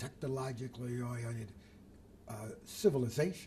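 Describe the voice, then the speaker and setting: A man speaking with an American accent, his voice somewhat breathy. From Detroit, Michigan, US. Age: 80s+. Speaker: retired builder and community leader. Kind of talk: oral history interview. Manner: halting, with many fillers.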